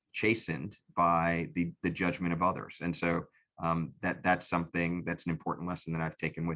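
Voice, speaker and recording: Over a quiet background, a man with a New York accent speaks at a moderate pace in a very deep, low voice with a bright, sharp tone and monotone, flat intonation. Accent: New York American. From New York City. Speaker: civil rights lawyer and commissioner. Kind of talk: interview. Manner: halting, many repetitions.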